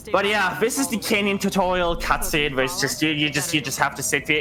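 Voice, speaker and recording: Over noticeable background noise, a man in a German accent speaks at a fairly quick pace with lively intonation. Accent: German accent, mispronounces words. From Germany. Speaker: video game speedrunner. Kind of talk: live gameplay commentary. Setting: live charity stream. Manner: talkative, non-stop.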